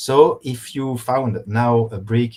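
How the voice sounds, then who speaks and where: With a French accent, a man speaks at medium pitch and a very slow pace. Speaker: professor, geochronologist. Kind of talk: lecture. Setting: online course. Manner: halting, many fillers.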